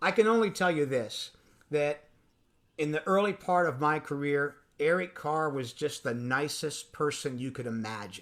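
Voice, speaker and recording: In an unremarkable speaking voice, a man with fairly high pitch and lively intonation talks at a moderate pace in a very clean recording with a silent background. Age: 60s. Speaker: drum industry veteran and percussionist. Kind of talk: casual interview chat.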